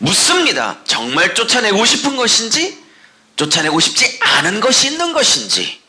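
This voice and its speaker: Over noticeable background noise, a man with an extremely high pitch speaks at a moderate pace, making very wide pitch swings at very even loudness. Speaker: pastor. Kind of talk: sermon.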